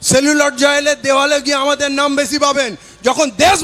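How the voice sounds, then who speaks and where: Against noticeable background noise, a man uses a raised, projected voice at an extremely high pitch. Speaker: political activist. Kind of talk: protest rally speech. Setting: protest stage with crowd. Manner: loud, fiery.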